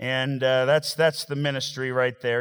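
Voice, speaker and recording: With an American accent, a man speaks at a moderate pace and medium pitch in a plain, everyday voice, recorded very cleanly against a silent background. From Montana. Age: 40s. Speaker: visiting preacher. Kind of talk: sermon.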